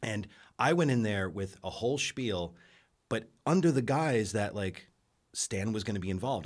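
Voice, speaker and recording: A man with an American accent and an unremarkable speaking voice talks in a fairly low pitch at a moderate pace. The recording is very clean, with a silent background. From New York. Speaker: film director and podcaster. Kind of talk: casual chat.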